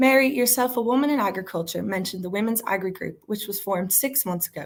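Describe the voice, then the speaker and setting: A woman talks at a very fast pace in a strong Dublin accent. Her voice is somewhat breathy, with lively intonation. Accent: thick Dublin. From Ireland, Dublin city centre. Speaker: university student debater. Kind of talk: competitive debate speech. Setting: virtual debate.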